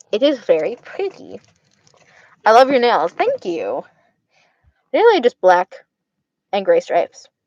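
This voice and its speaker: With an Arizona accent, a woman talks at a fairly slow pace with long, frequent pauses, in a dry, close sound with no echo. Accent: Arizona accent, slurred words. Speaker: streamer. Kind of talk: casual livestream chat. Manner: slurred words. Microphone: connection cutting out.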